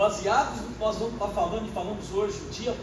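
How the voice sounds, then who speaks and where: A high-pitched man's voice with audible room echo and noticeable background noise. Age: 60s. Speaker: law professor. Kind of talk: ceremonial speech. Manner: halting, many fillers.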